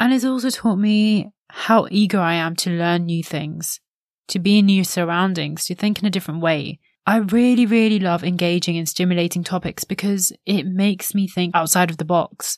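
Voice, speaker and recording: On a very clean recording with a silent background, a woman in an ordinary speaking voice talks at a moderate pace with a medium pitch and ordinary pitch variation. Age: 20s. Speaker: podcast host. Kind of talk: solo reflective monologue.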